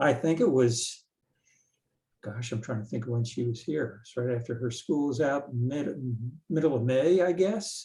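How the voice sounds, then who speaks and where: The man's tone is dark and mellow, somewhat breathy, at a medium pitch with ordinary variation. He keeps a moderate pace but takes long, frequent pauses. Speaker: local resident at community meeting. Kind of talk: casual remarks at public meeting.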